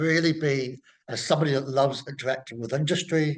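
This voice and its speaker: Ordinary pitch variation marks a man's fairly high voice. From New Zealand. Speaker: horticulture professor. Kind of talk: interview. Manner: halting, many fillers.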